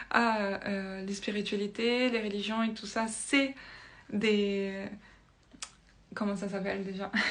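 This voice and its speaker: A woman speaks at a medium pitch, very slowly and in a flat monotone. Long, frequent pauses break up her speech, and the room echo is audible. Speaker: spiritual video creator. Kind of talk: casual monologue to camera, explaining with drawings. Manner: hesitant, many fillers and restarts.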